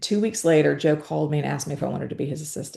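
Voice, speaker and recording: With a Southern US accent, a woman speaks in a dark, mellow tone with vocal fry. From US South, Georgia. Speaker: podcast host. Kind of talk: interview conversation.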